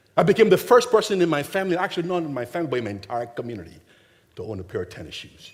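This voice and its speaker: Speaking at a very fast pace, a man with a slight Nigerian accent and a fairly high pitch makes very wide pitch swings. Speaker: charity founder, motivational speaker. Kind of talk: keynote speech. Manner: animated.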